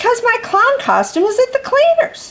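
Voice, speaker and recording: A squeaky, put-on character voice moves at a moderate pace. Its intonation is lively. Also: woman, extremely high pitch for a woman. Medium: read story. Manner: naive, earnest.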